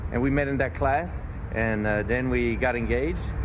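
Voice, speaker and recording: A man with a French accent is heard amid noticeable background noise and audible room echo. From France, moved to US (California) as a teen. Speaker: church planter. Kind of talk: interview.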